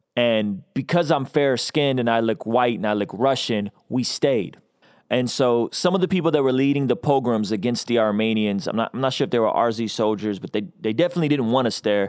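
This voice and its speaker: An unremarkable speaking voice talks at a fairly quick pace with ordinary pitch variation. The recording is very clean, with a silent background. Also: man, medium pitch for a man. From Azerbaijan (Baku), raised in US from childhood. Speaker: hip-hop artist and spoken word poet. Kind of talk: casual chat.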